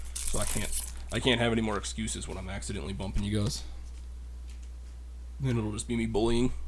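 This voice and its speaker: Quietly, a man speaks at a very fast pace broken by long, frequent pauses, with audible room echo. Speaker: card unboxing youtuber. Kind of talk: casual solo unboxing commentary. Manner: quiet, low-key.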